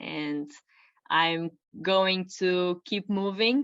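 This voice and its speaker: The background stays quiet. A non-native accent marks this woman's speech. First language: not English. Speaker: personal trainer. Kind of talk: interview. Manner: halting.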